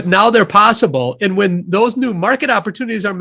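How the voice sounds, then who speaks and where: In a Midwestern accent, a raised, projected voice with a bright, sharp tone moves at a fairly quick pace. The intonation is lively, and the recording is very clean with a silent background. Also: man. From US Midwest, Wisconsin (near Madison). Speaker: economist and author. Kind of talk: interview.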